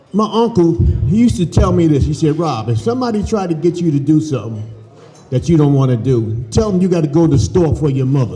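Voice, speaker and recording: A man with an American accent and fairly high pitch talks at a fairly quick pace with very wide pitch swings and long, frequent pauses, amid noticeable background noise and audible room echo. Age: 60s. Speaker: former football player. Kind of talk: speech at dinner.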